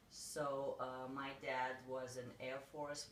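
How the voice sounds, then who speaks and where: In a Russian accent, a woman speaks with a very deep, low pitch amid noticeable background noise and audible room echo. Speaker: realtor. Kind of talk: interview.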